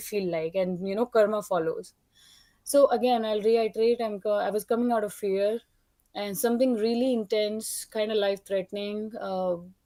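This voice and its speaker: This woman's voice sits fairly high and has a dark, mellow tone. She keeps a moderate pace with fairly even intonation. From India. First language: not English. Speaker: caller. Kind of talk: testimony. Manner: halting.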